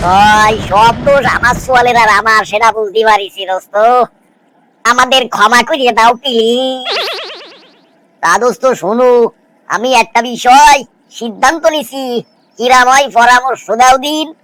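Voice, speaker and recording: A man puts on a cartoonish character voice at an extremely high pitch. His voice is raised and projected, at a fairly slow pace. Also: ordinary pitch variation. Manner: sly, cheeky.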